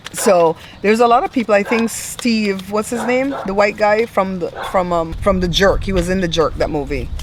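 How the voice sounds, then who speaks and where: With an American accent, a woman speaks at a moderate pace in an animated tone, her medium pitch showing ordinary variation. Noticeable background noise runs under her voice. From outside the US. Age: 50s. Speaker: tarot reader. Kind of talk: casual chat.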